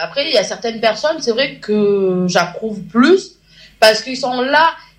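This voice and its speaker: A woman talks at a fairly slow pace in a fairly high voice. Her pitch swings very widely. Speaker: radio show panelist. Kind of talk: casual chat. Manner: calm.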